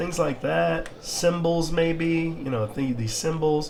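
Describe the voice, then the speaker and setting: A high-pitched man at a very slow pace, with audible room echo and noticeable background noise. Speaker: crypto and metaverse YouTuber. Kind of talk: casual gameplay walkthrough. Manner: hesitant, many fillers.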